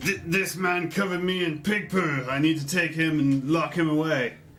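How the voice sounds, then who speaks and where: A man uses a put-on character voice with a fairly high pitch. Clear background noise can be heard. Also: moderate pace. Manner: strained, mimicking.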